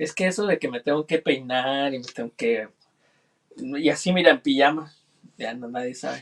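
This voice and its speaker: This man has a fairly high pitch and lively intonation, speaking at a moderate pace with long, frequent pauses and big swings in loudness, in a dry, close sound with no echo. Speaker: producer. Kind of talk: casual chat. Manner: formal.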